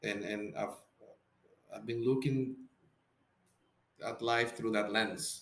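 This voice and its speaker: Speaking at a very slow pace with long, frequent pauses, a man with a Spanish accent uses a medium pitch and fairly even intonation. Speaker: psychotherapist. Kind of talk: podcast interview. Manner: halting, many repeated words.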